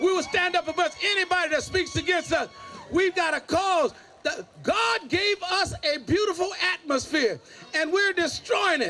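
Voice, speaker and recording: Over noticeable background noise, a man with an extremely high pitch uses a raised, projected voice and an animated tone, speaking at a moderate pace with ordinary pitch variation and very even loudness. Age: 70s. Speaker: pastor and civil rights activist. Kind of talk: rally speech. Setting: outdoor rally with crowd.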